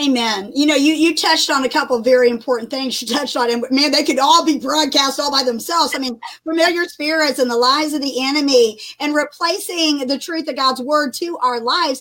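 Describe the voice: Fairly quick, high-pitched woman with a fairly bright tone. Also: ordinary pitch variation.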